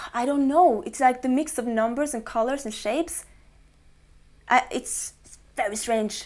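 A woman with a Norwegian accent speaks at a fairly slow pace in a high voice, with ordinary pitch variation and big swings in loudness. The recording is very clean, with a silent background. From central coastal Norway. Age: 20s. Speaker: guitarist and singer-songwriter. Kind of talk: casual interview. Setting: studio.

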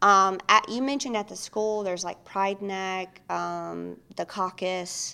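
A fairly slow, bright, sharp voice with a Mississippi accent, on a very clean recording with a silent background. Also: woman. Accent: Southern US (Mississippi). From Mississippi, US South. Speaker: licensed professional counselor. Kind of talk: casual interview chat. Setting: studio podcast.

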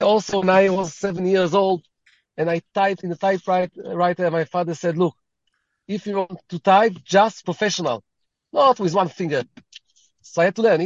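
A man with an Israeli accent talks at a high pitch and a moderate pace. His intonation stays fairly even, broken by long, frequent pauses. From Israel, Tel Aviv. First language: Hebrew. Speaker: rabbi. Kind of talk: interview.

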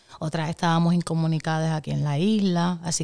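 A woman's very deep, low voice in monotone, flat intonation at a fairly quick pace, in a very clean recording with a silent background. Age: 30s. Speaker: podcast guest. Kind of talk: casual chat.

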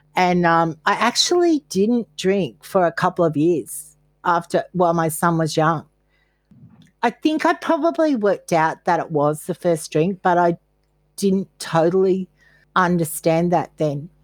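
A woman with an Australian accent and a fairly low pitch, ordinary pitch variation and very even loudness, in a very clean, dry, close recording with a silent background and no echo. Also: fairly slow pace. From Australia, Queensland. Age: 60s. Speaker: therapist in recovery. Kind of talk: interview.

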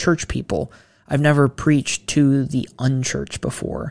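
A man with an American accent talks at a moderate pace and a fairly high pitch in an unremarkable speaking voice. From Ohio, Mansfield. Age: 20s. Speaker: seminary student. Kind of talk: casual interview chat.

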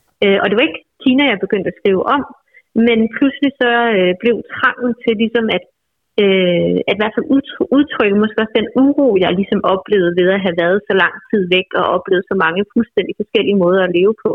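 A woman speaks in a normal speaking voice with medium pitch and ordinary pitch variation. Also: fairly quick pace. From Bornholm, Denmark. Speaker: novelist. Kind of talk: interview. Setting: phone call.

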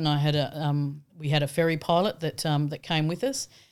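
With an Australian accent, a woman speaks at a moderate pace in a very deep, low pitch. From rural Australia. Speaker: entrepreneur. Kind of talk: interview conversation.

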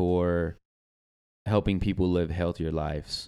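A man in an Arkansas accent at a fairly slow pace, on a very clean recording with a silent background. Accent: Southern US (Arkansas). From Arkansas, US South. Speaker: personal trainer. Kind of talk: casual chat.

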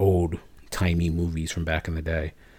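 The voice carries an American accent. It sounds somewhat breathy. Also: man. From Chicago area, US. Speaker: podcast co-host. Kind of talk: casual chat.

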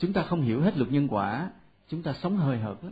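Male speech, a bit breathy, swinging very widely in pitch. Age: 40s. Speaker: Buddhist monk lecturer. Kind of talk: dharma talk. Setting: temple hall with audience.

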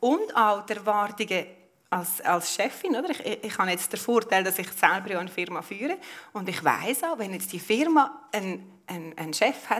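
Lively intonation from a woman at medium pitch, a moderate pace, and noticeable background noise. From Switzerland, Lucerne. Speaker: politician and business owner. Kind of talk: public panel discussion. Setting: live event at an exhibition venue.

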